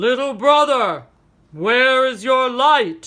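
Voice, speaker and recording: This is a put-on character voice at a fairly high pitch. The pace is very slow. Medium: read story. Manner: big-brotherly, commanding.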